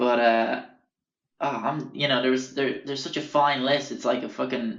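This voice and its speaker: A man with an Irish accent speaks at medium pitch and a moderate pace. His intonation is flat and monotone, with audible room echo. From Ireland. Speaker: podcast host, artist. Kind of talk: casual storytelling monologue. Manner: rambling, hesitant with fillers.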